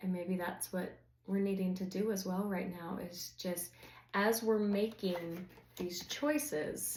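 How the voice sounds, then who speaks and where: With audible room echo, a woman of medium pitch speaks very slowly and somewhat breathily, her intonation fairly even. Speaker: tarot reader. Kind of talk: tarot reading to camera. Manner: conversational, filler-heavy.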